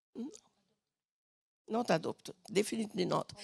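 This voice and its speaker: A woman with a non-native accent speaks at a fairly high pitch with vocal fry, the sound dry and close with no echo. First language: not English. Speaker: panelist, activist. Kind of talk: panel talk. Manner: halting, searching for words.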